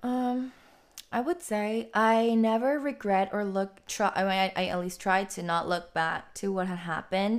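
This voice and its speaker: A woman with an American accent speaks at a moderate pace in a plain, everyday voice, her medium pitch showing ordinary variation, on a very clean recording with a silent background. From Texas, Austin; Korean American. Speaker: independent musician. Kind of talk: casual interview.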